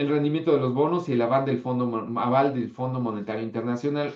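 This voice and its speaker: A man talks at a fairly quick pace. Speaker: history teacher. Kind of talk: online class lecture. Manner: animated.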